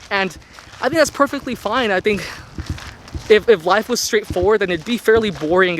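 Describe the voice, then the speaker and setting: The man's delivery is neither fast nor slow. Background noise is clearly audible. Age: 20s. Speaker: intern. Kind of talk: casual vlog talk to camera. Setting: outdoors.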